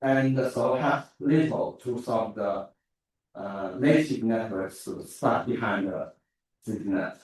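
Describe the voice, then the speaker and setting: A man with a Chinese accent at a very slow pace, with ordinary pitch variation. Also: medium pitch for a man. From China. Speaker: academic researcher. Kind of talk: conference talk. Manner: halting, many fillers.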